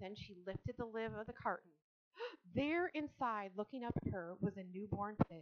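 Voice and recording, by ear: Intonation is lively here. The speaker is reading aloud in a natural voice over a quiet background.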